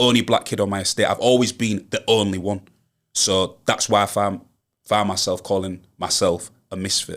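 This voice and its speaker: The pitch is fairly low for a man. He talks at a moderate pace. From Hull, East Yorkshire. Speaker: rapper. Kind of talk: podcast interview. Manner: animated.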